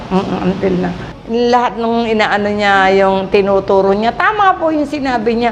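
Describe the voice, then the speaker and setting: A woman speaks at a moderate pace and a medium pitch with ordinary pitch variation. Noticeable background noise is audible. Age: 70s. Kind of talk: interview answer.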